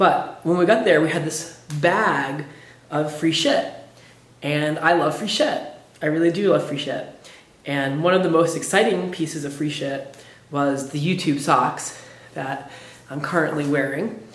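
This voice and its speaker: A man's hoarse, put-on character voice, fairly high and fairly even, at a moderate pace with long, frequent pauses and audible echo. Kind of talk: casual vlog talk.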